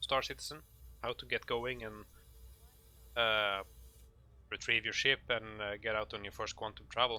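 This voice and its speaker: With a Norwegian accent, a man talks at a moderate pace in a medium pitch. His tone is bright and sharp, with ordinary pitch variation. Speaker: gaming tutorial maker. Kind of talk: tutorial. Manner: halting, many fillers.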